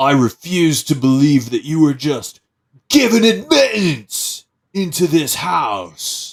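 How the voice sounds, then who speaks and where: Putting on a character voice, a man speaks at a fairly high pitch with very wide swings. His pace is fairly slow. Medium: actual play. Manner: suspicious, curt.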